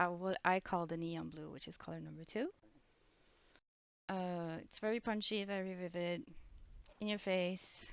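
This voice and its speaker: In a Swedish accent, a woman speaks at a moderate pace and medium pitch, her intonation fairly even, her loudness swinging widely, and her pauses long and frequent. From Sweden. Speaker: gaming YouTuber. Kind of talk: gameplay commentary. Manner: casual, self-correcting.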